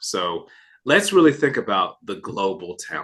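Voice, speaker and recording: A man at a moderate pace with an American accent. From United States. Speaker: financial advisor, podcast host. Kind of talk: podcast interview.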